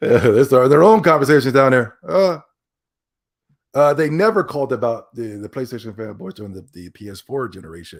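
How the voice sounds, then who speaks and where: A man speaks at a fairly quick pace in an animated tone. His pitch swings very widely, and his loudness rises and falls in big swings. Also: medium pitch for a man, very clean recording, silent background. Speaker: gaming podcast host. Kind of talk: casual livestream podcast commentary. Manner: animated, repetitive stammering.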